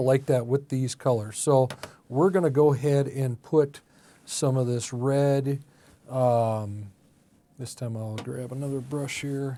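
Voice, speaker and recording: A man with a fairly high pitch mumbles at a fairly slow pace in a relaxed tone. His pitch variation is ordinary. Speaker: art teacher and ministry coach. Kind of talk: tutorial. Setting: art studio. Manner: mumbling, thinking aloud; casual, relaxed.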